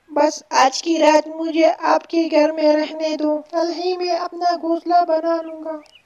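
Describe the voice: A cartoonish character voice, high-pitched and monotone with flat intonation, at a fairly slow pace with hardly any pauses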